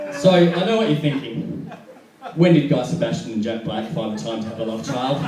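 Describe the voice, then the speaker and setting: A man with an Australian accent talks at a fairly quick pace in a fairly high pitch, with very wide pitch swings. Noticeable background noise and audible room echo are present. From Perth, Western Australia. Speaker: stand-up comedian. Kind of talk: stand-up. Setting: stage with audience.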